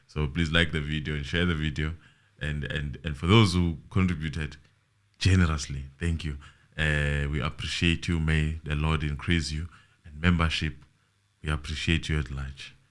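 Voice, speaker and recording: A man's very deep, low voice, monotone and flat, at a moderate pace. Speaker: online show host. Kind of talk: casual chat.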